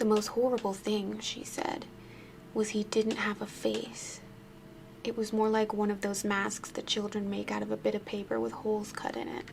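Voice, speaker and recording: A soft-spoken woman at a moderate pace. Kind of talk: ASMR spooky story reading.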